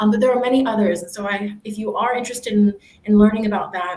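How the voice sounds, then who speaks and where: A woman with an American accent talks very fast in a fairly high voice, with noticeable background noise behind her. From United States. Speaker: university staff, former international student. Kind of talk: panel Q&A.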